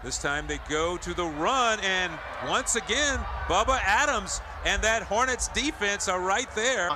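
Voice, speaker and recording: With noticeable background noise, a man talks at a fairly slow pace in a high, raised, projected voice with lively intonation. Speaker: football play-by-play announcer. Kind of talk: live play-by-play game commentary. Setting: stadium broadcast.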